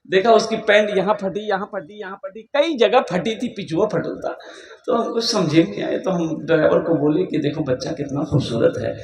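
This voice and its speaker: An energetic man's voice, high-pitched, with lively intonation and a moderate pace, amid noticeable background noise. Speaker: Islamic preacher. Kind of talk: Islamic sermon to a live audience (takrir). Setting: public gathering with PA system. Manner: energetic, humorous, storytelling.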